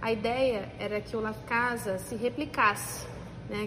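A woman's fairly high-pitched voice amid noticeable background noise and audible room echo. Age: 40s. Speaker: food entrepreneur. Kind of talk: interview.

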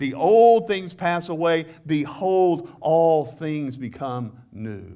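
Very slowly, a man with a Southern US accent speaks in a warm, dark, mellow tone with lively intonation. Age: 60s. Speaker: pastor. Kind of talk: sermon. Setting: church with congregation. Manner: earnest, preacherly, prompting congregation call-and-response; conversational, warm, with humor.

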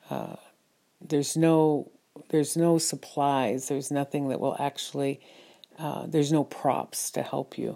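In an American accent, a woman speaks fairly slowly in a very deep, low pitch, her tone dark and mellow and her intonation flat and monotone. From United States. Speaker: midwife and podcast host. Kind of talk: solo monologue podcast.

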